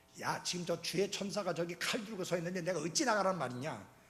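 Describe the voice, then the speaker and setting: With music in the background and audible room echo, a man speaks in an animated tone. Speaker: pastor. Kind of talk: sermon.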